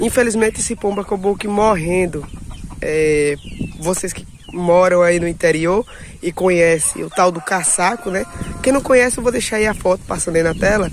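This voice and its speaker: Over noticeable background noise, a man speaks at a high pitch and a moderate pace with ordinary pitch variation. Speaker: YouTuber, small-scale poultry keeper. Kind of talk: casual vlog. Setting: outdoors at home.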